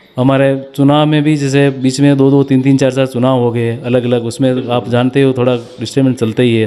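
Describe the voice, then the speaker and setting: Over music in the background, a man speaks at a medium pitch with monotone, flat intonation. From Rajasthan, Udaipur district. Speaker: village council head. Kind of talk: interview.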